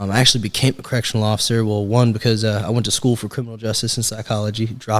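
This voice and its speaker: The speaker has a Texan accent and talks very fast. The intonation is monotone and flat. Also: man. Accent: Texan American. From Texas, Springtown near Fort Worth. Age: 20s. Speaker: sales director. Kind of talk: casual interview chat.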